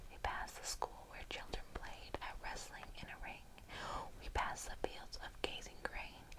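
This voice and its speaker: A whisper over noticeable background noise. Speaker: ASMR creator. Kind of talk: poetry reading. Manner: whispered.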